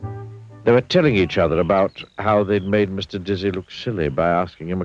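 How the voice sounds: A natural reading voice, intonation fairly level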